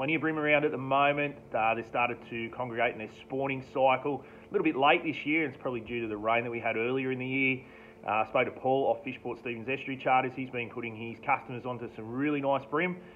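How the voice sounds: A man speaks at a fast pace with medium pitch and fairly even intonation.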